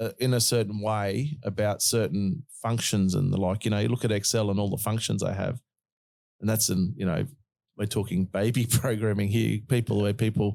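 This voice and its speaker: With an Australian accent, a man speaks at a moderate pace in a fairly low pitch and a dark, mellow tone, using ordinary pitch variation on a very clean recording with a silent background. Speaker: podcast host. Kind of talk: casual chat.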